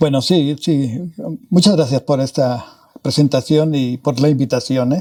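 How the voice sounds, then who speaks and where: Speaking at a fairly slow pace, a man has a fairly high pitch, a dark, mellow tone and ordinary pitch variation. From northern Mexico (Parral, Chihuahua). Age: 80s+. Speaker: physicist. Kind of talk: interview. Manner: halting.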